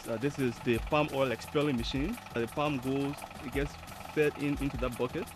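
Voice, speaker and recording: Noticeable background noise accompanies a man speaking at medium pitch and a moderate pace. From Liberia. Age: 20s. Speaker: entrepreneur. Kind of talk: guided tour. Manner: halting.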